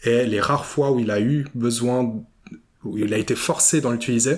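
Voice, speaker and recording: Here is a man with an ordinary speaking voice at a medium pitch. His intonation stays fairly even. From Switzerland, Vevey (Romandy). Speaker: podcast host. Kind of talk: interview. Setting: borrowed office space in Vevey.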